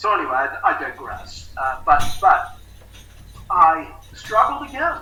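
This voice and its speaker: Raising and projecting his voice at an extremely high pitch, a man speaks at a fairly slow pace with very wide pitch swings, audible room echo, and noticeable background noise. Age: 60s. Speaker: recovery specialist. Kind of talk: interview testimony. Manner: halting, many fillers.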